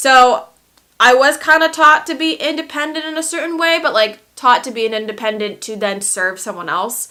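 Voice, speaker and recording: A woman with an American accent, high pitch, and a raised, projected voice, at a moderate pace with very wide pitch swings and big swings in loudness. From born in Lithuania, grew up in the United States. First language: Lithuanian. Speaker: makeup artist and beauty YouTuber. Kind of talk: casual vlog, reacting to viewer assumptions.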